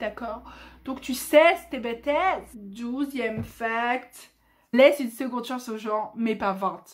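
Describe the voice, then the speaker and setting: This speech carries an animated tone, and its pitch varies in an ordinary way. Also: woman. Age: 20s. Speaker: YouTuber. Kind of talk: casual vlog monologue. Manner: loud.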